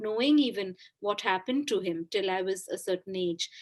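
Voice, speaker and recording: A woman with a Bengali accent and ordinary pitch variation, in a very clean recording with a silent background. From India, Kolkata. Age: 40s. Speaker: author. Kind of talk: interview. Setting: podcast.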